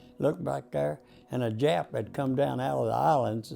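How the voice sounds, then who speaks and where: A man talks at a moderate pace in a Texan accent. Music plays in the background. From Texas, Dallas. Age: 90s. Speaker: war veteran. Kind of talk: oral history interview. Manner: halting.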